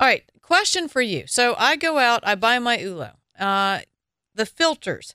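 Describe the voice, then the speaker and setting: In a Southern US accent, the speaker goes at a fairly slow pace with very wide pitch swings, in a dry, close sound with no echo on a very clean recording with a silent background. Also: woman, high pitch for a woman. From US South. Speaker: wine radio show host. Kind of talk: casual radio talk and interview. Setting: studio.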